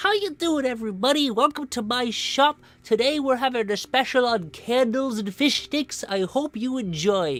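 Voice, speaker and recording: Hardly pausing, a female-sounding put-on character voice chirps in a cheerful tone, high in pitch, at a moderate pace. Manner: funny, cheerful.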